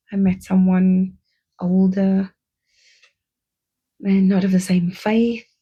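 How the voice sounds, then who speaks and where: A woman talks at a very slow pace with a medium pitch. Her tone is dark and mellow, and somewhat breathy. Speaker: podcaster, former teacher. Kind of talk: personal storytelling.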